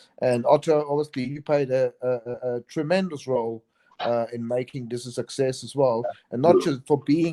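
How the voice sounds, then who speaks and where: A man with a South African accent speaks at a moderate pace in a fairly high voice with a dark, mellow tone and fairly even intonation, the sound dry and close with no echo. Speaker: chef and event organizer. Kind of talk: casual interview chat. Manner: halting, many repetitions.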